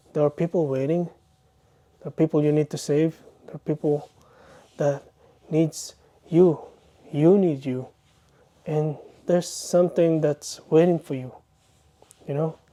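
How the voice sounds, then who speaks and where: A man with a non-native accent and a fairly high pitch speaks in a dark, mellow tone at a fairly slow pace, with fairly even intonation, long, frequent pauses, and a dry, close sound with no echo. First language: not English. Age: 30s. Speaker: vlogger. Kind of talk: personal vlog monologue. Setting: bedroom, self-recorded. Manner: earnest, hesitant.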